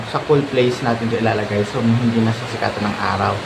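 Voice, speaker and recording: Over noticeable background noise and audible room echo, a man talks at a fairly quick pace and medium pitch in a monotone, flat intonation. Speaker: grape and fruit farming vlogger. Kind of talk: tutorial. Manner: louder than usual.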